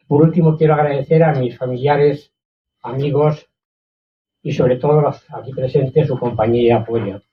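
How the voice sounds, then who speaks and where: Somewhat breathy, a man with a fairly high pitch speaks at a moderate pace with fairly even intonation. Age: 80s+. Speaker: author. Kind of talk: book presentation talk.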